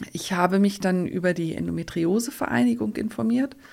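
This is a woman speaking. She has an ordinary speaking voice. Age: 50s. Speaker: endometriosis patient. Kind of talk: interview.

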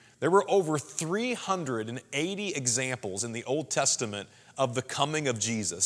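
Here a man with a Midwestern American accent speaks at a medium pitch with lively intonation. The recording is very clean, and the background is silent. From Southwest Missouri. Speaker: pastor. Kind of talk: sermon. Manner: casual, conversational.

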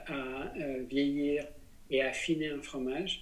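A man talks very slowly. He has a fairly high pitch. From France, Besançon. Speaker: business coach and plant-based cooking school director. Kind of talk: interview conversation.

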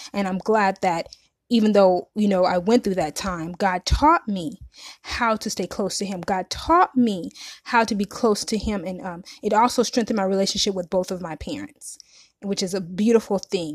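At a moderate pace and medium pitch, a woman speaks in a normal speaking voice with ordinary pitch variation, on a very clean recording with a silent background and a dry, close sound with no echo. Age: 30s. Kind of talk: testimony. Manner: casual, conversational.

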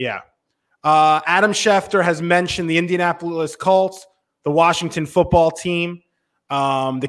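Speaking at a fairly slow pace, a man uses an ordinary speaking voice with fairly high pitch. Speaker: sports radio host. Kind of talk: casual chat, live sports talk show. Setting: live stream show.

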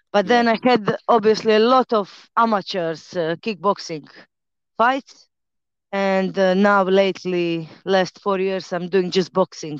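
The speaker has a Croatian accent and a fairly slow pace with ordinary pitch variation. The sound is dry and close with no echo, over a quiet background. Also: woman. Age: 30s. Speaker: fighter and personal trainer. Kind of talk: casual interview.

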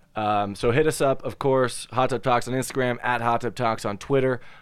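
On a very clean recording with a silent background, a man with a plain, everyday voice speaks at a fairly quick pace with fairly even intonation. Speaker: podcast host. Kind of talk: casual banter podcast chat. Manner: joking, laid-back.

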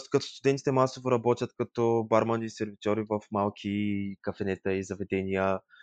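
A man with a fairly low pitch speaks in an ordinary speaking voice at a fairly quick pace and with fairly even intonation. The sound is dry and close with no echo, against a quiet background. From Bulgaria, Yambol. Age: 20s. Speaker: tourism graduate. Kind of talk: interview.

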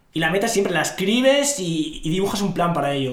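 Noticeable background noise sits under a man who speaks at a very fast pace. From northern Morocco, rural area near Larache. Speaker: finance professional, interview guest. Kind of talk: casual interview.

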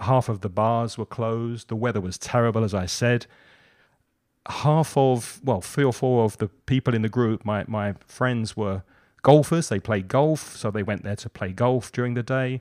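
With a southern English accent, a man talks at a moderate pace in a medium pitch, his pitch varying in an ordinary way. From southern England. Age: 50s. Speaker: English teacher and podcaster. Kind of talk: casual chat. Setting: video call.

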